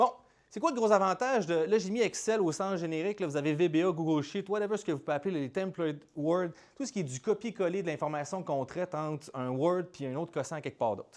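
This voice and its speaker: Animated and with lively intonation, a man speaks very fast in a Quebec accent at a high pitch. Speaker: startup founder and speaker. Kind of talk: conference talk. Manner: casual, animated.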